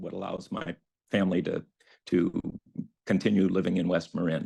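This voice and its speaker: There is vocal fry in this man's voice. The background is quiet. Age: 60s. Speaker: short-term rental owner. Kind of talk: public comment. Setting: video call. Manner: halting.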